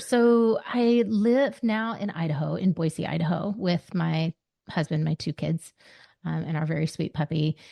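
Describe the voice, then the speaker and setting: With a Southern US accent, a woman talks at a fairly slow pace in a fairly low pitch, her intonation lively against a quiet background. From US South. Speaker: life coach. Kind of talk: podcast interview. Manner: halting, many fillers.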